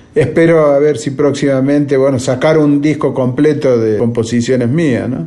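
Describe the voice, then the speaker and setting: Over noticeable background noise and audible room echo, a man with a strong Argentine accent talks at a moderate pace, fairly high in pitch with ordinary pitch variation and hardly any pauses. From Argentina. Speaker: bandoneon player and composer. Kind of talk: interview. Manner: halting.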